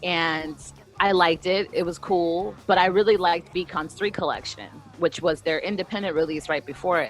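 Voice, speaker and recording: Over music in the background, a woman talks in a fairly low pitch. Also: ordinary pitch variation, moderate pace. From US mid-Atlantic (DC area), born in Brazil. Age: 30s. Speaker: punk singer and bassist. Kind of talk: interview. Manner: loud; animated.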